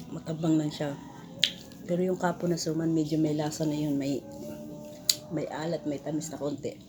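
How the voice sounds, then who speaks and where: With music in the background, a woman speaks in a very deep, low pitch and monotone, flat intonation, leaving long, frequent pauses. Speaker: vlogger. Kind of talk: casual vlog chat. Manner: halting.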